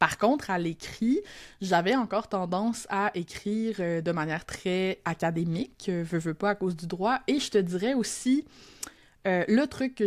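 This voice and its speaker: On a very clean recording with a silent background, a woman with a Quebec accent speaks at a fairly slow pace and a medium pitch. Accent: Québécois, reclaimed. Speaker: copywriter and teacher. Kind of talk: podcast interview. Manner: casual, Quebec colloquial.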